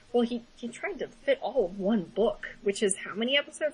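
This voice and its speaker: The speaker is loud, with vocal fry and very wide pitch swings. The pace is fairly quick. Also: woman. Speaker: podcast co-host. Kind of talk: casual chat. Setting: small room, shared mics. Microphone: voice echoing off another mic.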